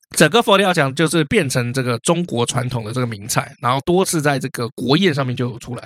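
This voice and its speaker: Medium-pitched man in a Taiwanese accent, fairly quick and lively, with hardly any pauses and a dry, close sound with no echo. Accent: Taiwanese Mandarin. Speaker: history podcast co-host. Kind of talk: casual history storytelling chat. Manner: animated.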